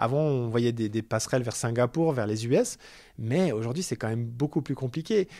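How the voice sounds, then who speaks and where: A man's dark, mellow tone with lively intonation on a very clean recording with a silent background. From France, Paris. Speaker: bank branch manager. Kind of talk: interview. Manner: halting, many repetitions.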